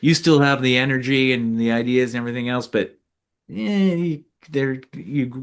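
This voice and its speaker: A normal speaking voice with an American accent, set against a quiet background. The pitch moves in an ordinary way, and the pace is moderate. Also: man. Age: 50s. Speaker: former mayor and author. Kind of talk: interview. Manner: casual, many fillers.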